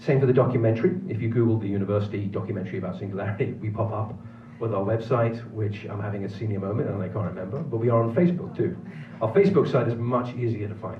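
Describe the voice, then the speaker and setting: A man with a Manx accent talks at a very fast pace, medium-pitched with ordinary pitch variation. Noticeable background noise and audible room echo surround him. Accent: British (Manx). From Isle of Man. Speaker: film producer and professor. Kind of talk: film festival Q&A. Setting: theater with audience.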